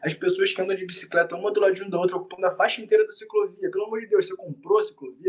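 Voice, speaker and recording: A man is speaking. His intonation is lively. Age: 20s. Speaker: actor. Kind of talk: casual chat.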